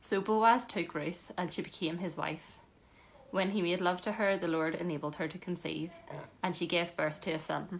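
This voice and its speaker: This is an ordinary speaking voice at a moderate pace. Its intonation stays fairly even. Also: woman, fairly low pitch for a woman. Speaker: scripture reader. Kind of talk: reading aloud. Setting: church.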